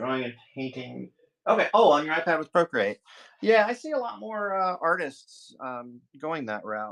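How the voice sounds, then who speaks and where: Mumbling, a man talks with very wide pitch swings. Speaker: artist streaming live drawing. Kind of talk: casual live-stream chat while drawing. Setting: live stream. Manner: mumbling, halting.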